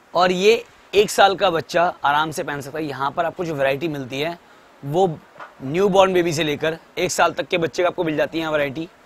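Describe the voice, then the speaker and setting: A man's high voice with ordinary pitch variation, a moderate pace and a dry sound with no echo. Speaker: shop tour vlogger. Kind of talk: product presentation vlog. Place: shop.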